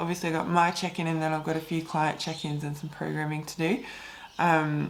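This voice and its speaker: The voice is monotone and flat in intonation, with an Australian accent. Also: woman, very deep, low pitch for a woman. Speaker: fitness coach. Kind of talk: casual vlog talk. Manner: slow.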